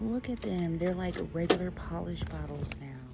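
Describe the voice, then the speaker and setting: A soft-spoken woman at a moderate pace, ordinary pitch variation, music in the background. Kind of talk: ASMR soft-spoken voiceover.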